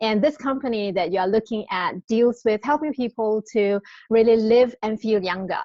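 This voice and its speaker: Speaking at a moderate pace, a woman with a Singaporean accent has a fairly high pitch and ordinary pitch variation. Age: 40s. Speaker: network marketing presenter. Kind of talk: sales pitch. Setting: live webinar. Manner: animated.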